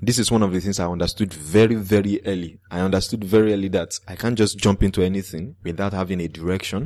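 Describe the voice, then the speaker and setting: The speech comes at a very fast pace with fairly even intonation, in a Nigerian accent. The recording is very clean, with a silent background. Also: man. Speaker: podcaster. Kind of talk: interview.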